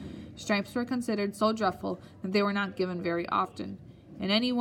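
The voice is a natural reading voice. Its pitch varies in an ordinary way.

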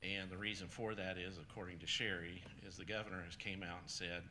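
A man speaks at a fairly quick pace in a very deep, low voice with a bright, sharp tone and flat, monotone intonation, and the room echo is audible. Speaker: county program director presenting grant. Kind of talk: public meeting presentation. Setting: county council meeting room. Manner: soft-spoken.

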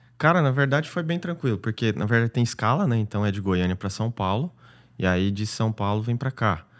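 Speech comes at a fairly quick pace with lively intonation. The recording is very clean with a silent background. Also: man, medium pitch for a man. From Goiás, Brazil. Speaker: paid traffic specialist, digital entrepreneur. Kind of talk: casual interview chat.

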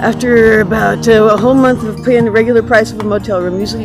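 A woman's fairly quick speech over loud music in the background. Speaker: vlogger. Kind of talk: casual vlog chat. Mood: upset, grieving, frustrated. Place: street. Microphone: phone near.

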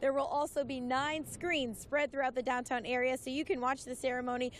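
Over light background noise, a woman speaks at a fairly quick pace in a high-pitched voice with an upbeat tone. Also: dry sound with no echo. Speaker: TV news reporter. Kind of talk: live news report. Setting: outdoors.

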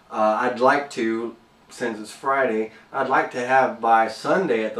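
A man with a fairly low pitch and fairly even intonation speaks with audible room echo. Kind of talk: casual vlog chat. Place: workshop. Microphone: camera far.

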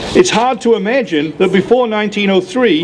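Against light background noise, a man speaks with a British accent and ordinary pitch variation. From United Kingdom. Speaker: gun rights activist. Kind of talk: rally speech. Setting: outdoor rally with crowd. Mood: earnest, sardonic. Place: street. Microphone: podium.

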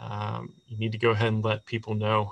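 A man is speaking. He has an American accent. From West Virginia. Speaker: city sustainability office staff, webinar host; webinar host. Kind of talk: webinar presentation. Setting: online webinar. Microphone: video call.

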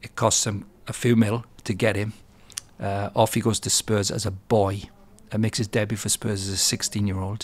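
At a moderate pace, a man talks in a normal speaking voice. His pitch is fairly low and his intonation fairly even. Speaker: podcast interviewer. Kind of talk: podcast introduction. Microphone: studio mic.

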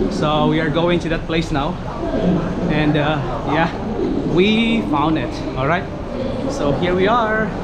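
There is loud background noise as a man talks at a fairly slow pace. His speech has long, frequent pauses. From Philippines. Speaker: vlogger. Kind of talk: travel vlog narration, mixing English and Tagalog. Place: station. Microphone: phone near.

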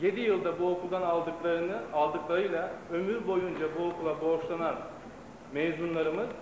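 A man speaks at a high pitch with fairly even intonation and very even loudness. Audible room echo and noticeable background noise surround him. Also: moderate pace. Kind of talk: formal speech. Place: stage. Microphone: old recording.

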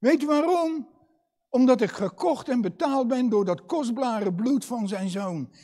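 A man's extremely high pitch with a dark, mellow tone, lively intonation, and a very slow pace against a quiet background. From Netherlands, Katwijk; Netherlands. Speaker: preacher. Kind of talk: sermon. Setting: church. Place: church. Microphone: lapel.

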